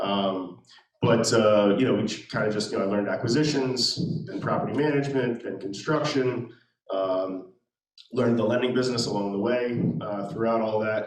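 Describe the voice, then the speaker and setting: At a moderate pace, a man talks at a medium pitch. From Maryland, Anne Arundel County. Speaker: real estate investor. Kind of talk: interview at a meetup. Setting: meetup with live audience. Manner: halting, many fillers.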